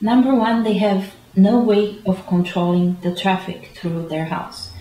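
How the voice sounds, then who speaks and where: A woman speaks at a fairly slow pace amid noticeable background noise. Audible room echo surrounds her voice. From Romania. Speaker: real estate agent. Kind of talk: interview. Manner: halting.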